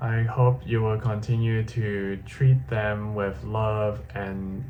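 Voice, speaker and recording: A man's fairly low voice with ordinary pitch variation and audible room echo. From Hong Kong. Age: 20s. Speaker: vlogger. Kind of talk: personal video diary.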